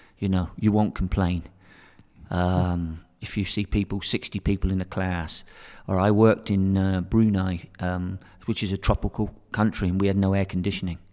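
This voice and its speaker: A man with an English accent speaks in a very deep, low pitch and a dark, mellow tone, his intonation monotone and flat. The recording is very clean, with a silent background. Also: moderate pace. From England. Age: 60s. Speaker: teacher and academic director. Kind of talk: interview conversation.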